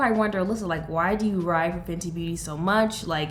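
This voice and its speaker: The room echo is audible. A woman's voice is heard in it. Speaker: beauty youtuber. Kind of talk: casual vlog chat. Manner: animated.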